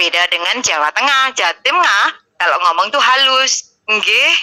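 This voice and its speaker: Very wide pitch swings mark this woman's speech. Her pitch is high and her pace fairly slow. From East Java, Surabaya. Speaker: live-stream host. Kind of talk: heated debate. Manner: harsh, blunt tone.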